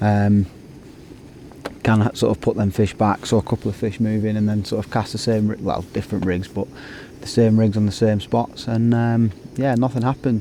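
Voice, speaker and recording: Talking at a fairly quick pace with a Lancashire accent, a man keeps his fairly low voice at a fairly even intonation. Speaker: carp angler vlogger. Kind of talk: casual vlog to camera. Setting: outdoors at a lake. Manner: hesitant, many fillers.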